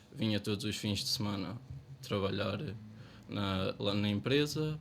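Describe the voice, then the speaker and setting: His voice sits fairly low. The man keeps to a moderate pace. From Portugal, Ferreira do Zêzere area. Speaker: local election candidate. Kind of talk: election debate.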